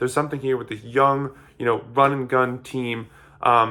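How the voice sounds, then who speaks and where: The man's voice has a bright, sharp tone. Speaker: sports commentator. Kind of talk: casual analysis monologue. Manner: fast; halting, repetitive fillers.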